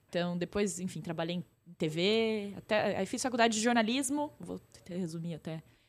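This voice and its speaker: A woman speaks in a plain, everyday voice. Her pitch is medium with ordinary variation. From interior of São Paulo state, Brazil (Pirajuí). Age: 30s. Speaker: influencer marketing entrepreneur. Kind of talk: casual interview. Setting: in-person studio recording.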